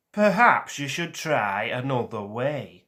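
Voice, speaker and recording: A man puts on a character voice at medium pitch. It has a rumbling quality. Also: fairly slow pace. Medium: read story. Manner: weary, grumbling.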